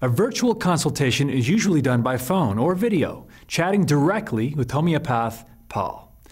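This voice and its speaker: A man speaks in a fairly high, somewhat breathy voice with lively intonation. The background is quiet. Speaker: infomercial presenter. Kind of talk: infomercial presenter read. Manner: clear, professional, instructional. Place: studio.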